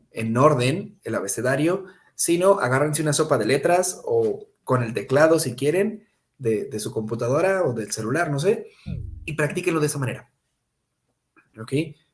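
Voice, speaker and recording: This man's voice is fairly high and somewhat breathy, with ordinary pitch variation. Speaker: English teacher. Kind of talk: online class. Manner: fast.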